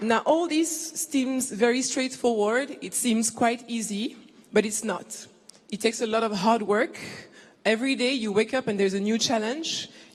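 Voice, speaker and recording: With a French accent, a woman talks at a moderate pace in a fairly high pitch, her pitch varying in an ordinary way. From Ivory Coast. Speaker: business executive. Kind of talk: keynote speech.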